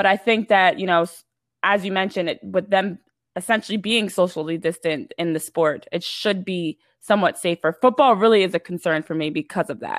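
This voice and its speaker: In an unremarkable speaking voice, a woman with an American accent talks at a fairly quick pace and medium pitch with ordinary pitch variation, the sound dry and close with no echo in a very clean recording over a silent background. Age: 20s. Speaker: sports reporter. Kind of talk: casual interview.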